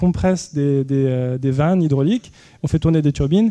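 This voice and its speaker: A man speaks with a dark, mellow tone and ordinary pitch variation. His moderate pace comes through with a dry, close sound and no echo. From Paris region, France. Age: 30s. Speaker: inventor and entrepreneur. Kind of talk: public lecture. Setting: university lecture hall with audience. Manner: hesitant, many fillers and repetitions.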